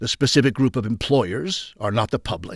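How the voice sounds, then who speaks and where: A man with medium pitch at a fairly quick pace, an ordinary speaking voice. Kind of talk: audiobook reading aloud of a 1920s industrialist's essay. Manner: formal, measured, steady narrator pace.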